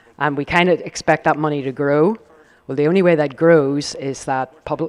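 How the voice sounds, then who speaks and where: Fairly high-pitched, a man with a Northern Irish accent talks at a moderate pace with fairly even intonation. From Northern Ireland. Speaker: company executive on a panel. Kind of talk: panel discussion. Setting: live event with audience.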